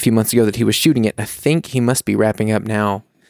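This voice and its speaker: Speaking very fast with an American accent, a man holds a medium pitch and fairly even intonation on a very clean, dry, close recording with no echo and a silent background. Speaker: podcast co-host. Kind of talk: casual chat. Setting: recording in a quiet house.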